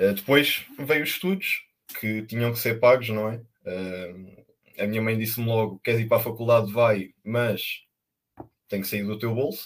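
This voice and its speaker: Speaking at a fairly slow pace with long, frequent pauses, a man holds a medium pitch and fairly even intonation. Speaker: working student. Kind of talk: casual chat.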